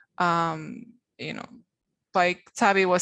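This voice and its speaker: A woman speaks at medium pitch in a Spanish accent, her intonation monotone and flat, against a quiet background. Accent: Spanish accent from Spain. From Spain. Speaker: translation quality trainer. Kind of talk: career panel talk. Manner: halting, many fillers.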